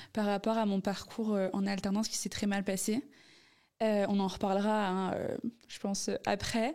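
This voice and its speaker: On a very clean recording with a silent background, a woman speaks at a moderate pace. Her medium-pitched voice has a dark, mellow tone and monotone, flat intonation. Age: 20s. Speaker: business student and entrepreneur. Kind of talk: casual interview.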